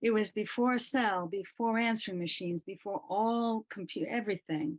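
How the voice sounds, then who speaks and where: A woman talks in a normal speaking voice at a moderate pace, her fairly high pitch captured in a dry, close sound with no echo. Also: ordinary pitch variation. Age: 60s. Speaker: massage therapist, participant. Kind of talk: sharing in an online prayer gathering.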